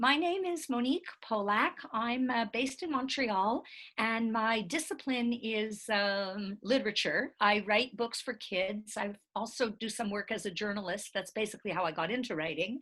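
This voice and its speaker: With a normal speaking voice, a woman talks at a moderate pace and a fairly high pitch with lively intonation on a very clean recording with a silent background. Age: 60s. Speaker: writer and college teacher. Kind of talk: interview monologue.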